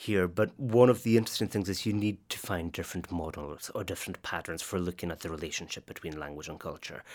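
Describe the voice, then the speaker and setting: Speaking in a Highland Scottish accent at a very fast pace, a man with a very deep, low pitch uses lively intonation on a very clean recording with a silent background. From northwest Scotland. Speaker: literature academic. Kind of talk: interview.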